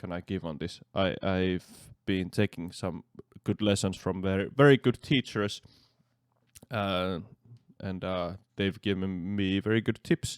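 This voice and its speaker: In a Finnish accent, a man with a very deep, low pitch speaks at a fairly slow pace with ordinary pitch variation and long, frequent pauses, on a very clean recording with a silent background. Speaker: metal drummer. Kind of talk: reaction commentary. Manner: halting.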